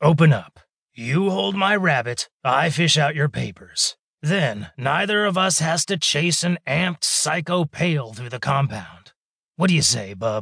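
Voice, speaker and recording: Putting on a character voice, a man growls in a gruff way at a fairly high pitch and a moderate pace. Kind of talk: audiobook character voice. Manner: gruff, growling, tough street talk.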